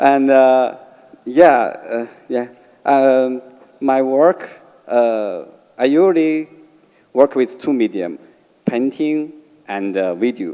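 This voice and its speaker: At a very slow pace with long, frequent pauses, a man with a Chinese accent speaks at a medium pitch with ordinary pitch variation. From China, Beijing. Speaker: artist. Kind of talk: panel discussion. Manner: halting.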